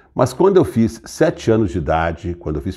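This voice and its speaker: With a somewhat breathy, dark, mellow tone, a man talks at a middling speed. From Brazil, Franca (São Paulo state). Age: 60s. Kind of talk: personal testimony. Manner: halting, with self-corrections.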